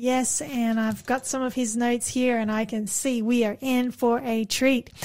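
At a moderate pace, a woman with an Australian accent speaks in a high pitch. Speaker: radio host. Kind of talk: religious radio talk show. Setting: studio.

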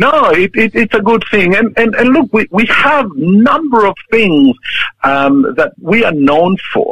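With a Chilean accent, a man speaks fairly slowly at a high pitch with very wide pitch swings and very even loudness, in a dry, close sound with no echo. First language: Spanish. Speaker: church leader, pastor. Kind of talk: interview. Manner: halting.

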